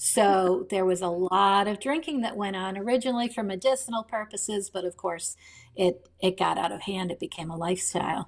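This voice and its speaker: A woman talks in an ordinary speaking voice at a medium pitch. Her pace is fairly quick, with ordinary pitch variation. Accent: American. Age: 60s. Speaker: novelist. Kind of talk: interview.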